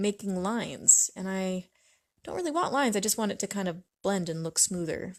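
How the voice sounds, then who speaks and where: Soft-spoken and at a fairly quick pace, a woman talks with an American accent on a very clean recording with a silent background. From US Pacific Northwest, Washington State. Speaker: artist livestreamer. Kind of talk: casual livestream chat while painting. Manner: hesitant, many fillers.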